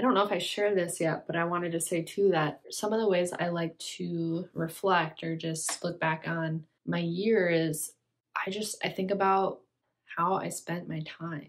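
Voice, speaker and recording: This is a normal speaking voice with fairly even intonation. The pace is moderate. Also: woman, fairly low pitch for a woman. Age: 20s. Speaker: lifestyle vlogger. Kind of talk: casual talk to camera. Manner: reflective.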